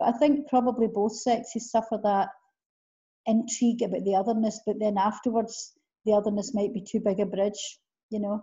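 With a Scottish accent, a woman talks at a fairly quick pace in a somewhat breathy voice with fairly even intonation against a quiet background. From Scotland. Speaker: interviewer. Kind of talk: interview question. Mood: warm, enthusiastic. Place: home room. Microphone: video call.

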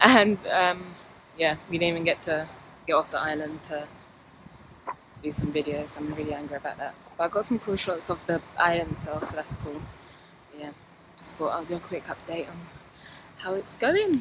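Against noticeable background noise, a woman with a fairly low pitch and ordinary pitch variation talks at a moderate pace with long, frequent pauses and big swings in loudness, in a dry sound with no echo. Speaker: travel vlogger. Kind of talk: casual vlog chat. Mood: annoyed but upbeat. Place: street. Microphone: phone near.

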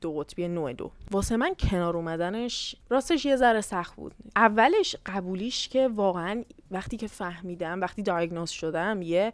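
A woman with a medium pitch talks at a moderate pace with lively intonation, the sound dry with no echo. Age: 20s. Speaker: YouTuber and university student; YouTuber. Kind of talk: casual Q&A vlog. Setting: hotel room on vacation. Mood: candid, reflective. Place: home room. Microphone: lapel.

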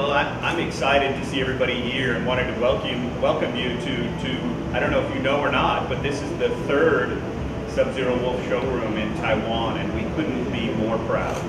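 Over music in the background, a man speaks at a moderate pace with audible room echo. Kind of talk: ceremonial speech. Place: shop. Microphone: camera far.

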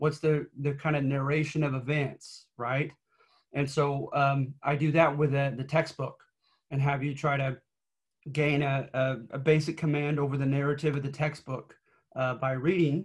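A somewhat breathy man at a moderate pace, his intonation flat and monotone, over a quiet background. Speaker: college history instructor. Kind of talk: lecture. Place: home room. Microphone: webcam.

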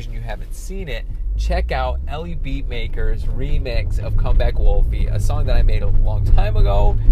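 Music plays in the background while a man talks at a fairly slow pace. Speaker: vlogger. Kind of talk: casual vlog chat. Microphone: phone near.

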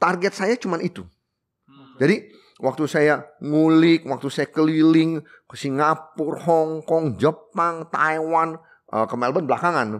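Speaking at a fairly slow pace, a man has a fairly high voice. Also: ordinary pitch variation. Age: 60s. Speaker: coffee shop owner; podcast guest. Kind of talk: casual interview. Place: studio. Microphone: studio mic.

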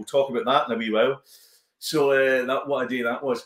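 A man with a Glaswegian accent, heard with audible room echo. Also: quiet background. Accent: Glaswegian Scottish. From Glasgow, East End; Glasgow. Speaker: comedian and actor; comedian, actor. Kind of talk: casual chat. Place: home room.

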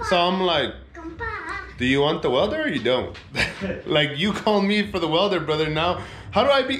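A high-pitched man's voice against noticeable background noise. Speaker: car vlogger. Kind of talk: casual vlog chat. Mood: amused, laughing. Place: garage. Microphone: phone near.

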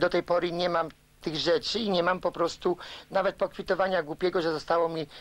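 A high-pitched man at a very fast pace, monotone and flat in intonation. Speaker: news interviewee. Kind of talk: interview answer. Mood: aggrieved, determined. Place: studio.

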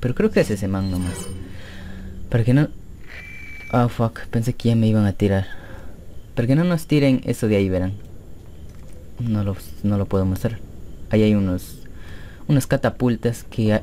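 Long, frequent pauses break up a man's speech at a moderate pace. His pitch is fairly low with ordinary variation, and there is noticeable background noise. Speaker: gaming youtuber. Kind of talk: gameplay commentary. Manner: animated.

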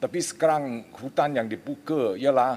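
Very slow speech with vocal fry. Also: man. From Malaysia. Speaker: member of parliament. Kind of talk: parliamentary interjection. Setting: parliament chamber. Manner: halting. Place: hall. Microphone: podium.

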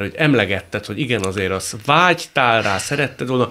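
Lively intonation marks this man's bright, sharp tone as he talks at a moderate pace. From Hungary. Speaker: radio talk show host. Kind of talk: interview conversation. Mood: relaxed, friendly. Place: studio. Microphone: studio mic.

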